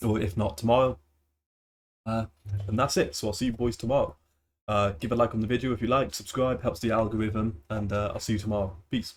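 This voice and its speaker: A man's medium-pitched, somewhat breathy voice with ordinary pitch variation and long, frequent pauses, on a very clean recording with a silent background. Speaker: football news youtuber. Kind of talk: casual commentary vlog.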